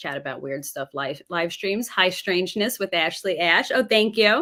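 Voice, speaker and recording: With a New York accent, a woman talks at a moderate pace, her pitch swinging very widely. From New York City suburbs. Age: 30s. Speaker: former teacher, live streamer. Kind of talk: casual chat.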